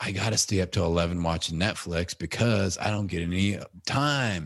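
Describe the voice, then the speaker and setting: A man's very deep, low voice with an American accent, over a quiet background. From US Midwest, Indiana. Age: 40s. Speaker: podcaster. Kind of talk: casual interview chat.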